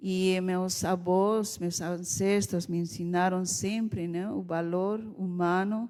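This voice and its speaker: Woman of medium pitch with a dark, mellow tone, monotone, flat intonation at a very slow pace. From Bolivia, Oruro (Andes). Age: 60s. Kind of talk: seminar talk, personal testimony. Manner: halting.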